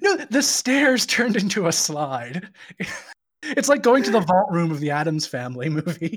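A man's high-pitched, animated voice at a moderate pace, with very wide pitch swings. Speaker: comic book podcast guest. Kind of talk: casual chat. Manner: animated, jokey.

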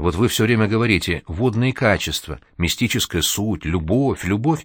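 Lively intonation in a natural reading voice.

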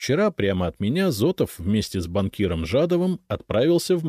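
The text is read aloud in a natural voice.

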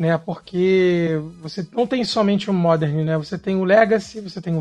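A man's high-pitched voice at a moderate pace, with fairly even intonation and music in the background. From Brazil, Rio de Janeiro. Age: 30s. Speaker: Magic card game streamer. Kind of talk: casual podcast interview.

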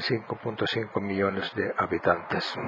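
Speaking very slowly, a man talks in a Finnish accent. His intonation is monotone and flat. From Finland. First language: Finnish (speaking Spanish). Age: 70s. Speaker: podcast host. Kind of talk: scripted narration.

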